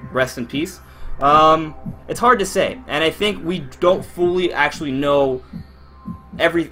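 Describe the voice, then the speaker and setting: Over background music, a man speaks with lively intonation at a fairly high pitch. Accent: American. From Miami, Florida. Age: 20s. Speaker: gaming YouTuber. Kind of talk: live stream Q&A. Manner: casual, hesitant with fillers.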